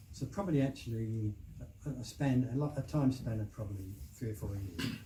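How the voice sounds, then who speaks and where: A man delivers his words fairly quickly and with lively intonation while noticeable noise sounds in the background. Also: medium pitch for a man. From southeast England. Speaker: novelist. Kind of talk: interview answer.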